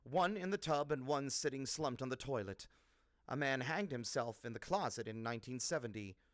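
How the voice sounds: A natural reading voice with lively intonation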